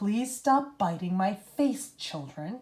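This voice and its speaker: In a put-on character voice, a female-sounding speaker growls at a very slow pace with a medium pitch. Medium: read story. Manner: warm, soothing.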